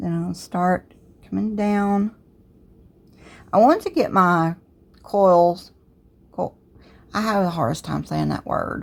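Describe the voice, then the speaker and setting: A woman speaks in a Southern US accent at a very slow pace, with long, frequent pauses. The recording is very clean, with a silent background. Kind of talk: tutorial. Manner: casual, conversational.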